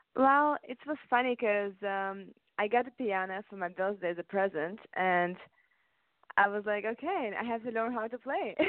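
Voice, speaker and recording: Speaking at a moderate pace, a woman uses a normal speaking voice at medium pitch with ordinary pitch variation. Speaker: singer. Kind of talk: interview.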